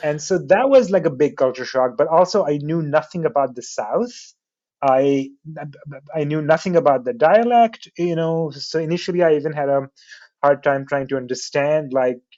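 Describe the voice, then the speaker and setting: At a moderate pace, a man with a non-native accent speaks at a fairly high pitch with ordinary pitch variation. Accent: foreign. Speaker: artist and graphic designer. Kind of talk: interview. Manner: casual, many fillers and restarts.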